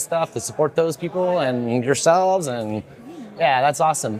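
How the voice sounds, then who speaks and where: A fairly high-pitched man over noticeable background noise. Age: 40s. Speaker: event interviewer. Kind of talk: casual interview. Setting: event lounge at a conference.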